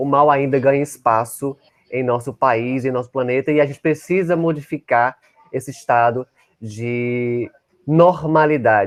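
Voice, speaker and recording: A man speaks at a fairly slow pace. It is an ordinary speaking voice. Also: medium pitch for a man, ordinary pitch variation. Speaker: invited speaker on LGBT-phobia. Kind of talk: online talk. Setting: at home, online session.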